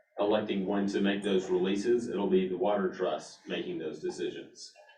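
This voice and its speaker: Speaking at a medium tempo in a fairly low register, the man's voice has audible echo from the room. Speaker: water district staff member. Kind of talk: board meeting presentation. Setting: meeting room with online attendees. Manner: halting.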